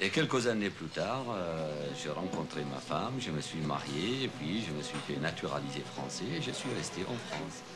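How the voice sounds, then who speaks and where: Over music in the background and audible room echo, a man with a very deep, low voice talks at a fairly slow pace with hardly any pauses and very wide pitch swings. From Syria. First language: Arabic (speaking French). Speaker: restaurant owner. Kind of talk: documentary interview. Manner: hesitant, many fillers.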